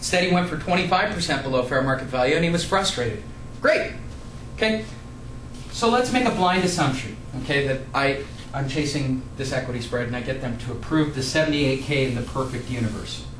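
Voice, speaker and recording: A man at a fairly quick pace and fairly high pitch, amid noticeable background noise and audible room echo. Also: ordinary pitch variation. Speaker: real estate investor and educator. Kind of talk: tutorial. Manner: fast.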